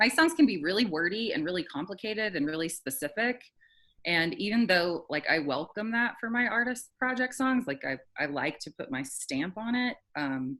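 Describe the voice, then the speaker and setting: A woman's medium-pitched voice with a slight Southern US accent, very wide pitch swings and a moderate pace. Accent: slight Southern twang in singing. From Alabama, US South. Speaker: singer-songwriter. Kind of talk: casual interview chat.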